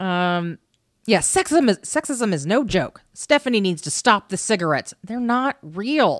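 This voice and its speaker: A woman with an American accent speaks fairly slowly at a medium pitch, her voice swinging very widely, in a very clean recording with a silent background. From US Midwest. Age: 20s. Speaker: podcast co-host. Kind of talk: casual chat.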